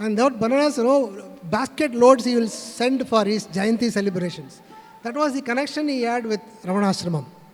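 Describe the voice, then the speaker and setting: Music plays in the background as a man speaks. His pitch is extremely high, with ordinary variation. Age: 60s. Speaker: spiritual speaker. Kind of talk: testimony. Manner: halting, many fillers.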